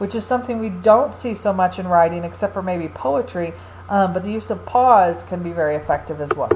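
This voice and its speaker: A woman's voice with audible room echo. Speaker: college English instructor. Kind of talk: recorded lecture.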